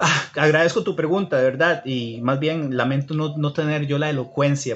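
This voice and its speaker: The speaker has a Costa Rican accent and a somewhat breathy voice. Pace is moderate and pitch variation ordinary. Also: man. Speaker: livestreamer teaching about Judaism. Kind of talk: live stream talk with viewer comments. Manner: halting, many fillers.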